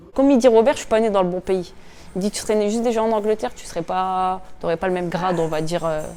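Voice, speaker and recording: A woman with a northern French accent talks at a very fast pace and a medium pitch. Her tone is dark and mellow, with ordinary pitch variation. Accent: regional northern French accent, noticeable. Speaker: professional boxer, world champion. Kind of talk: interview, personal reflections. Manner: hesitant, many repetitions and fillers.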